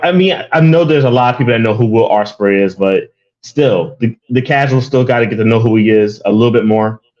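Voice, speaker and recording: In an American accent, this is an unremarkable speaking voice with ordinary pitch variation. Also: man. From US, Philadelphia. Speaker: guest co-host, wrestling fan. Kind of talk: casual chat.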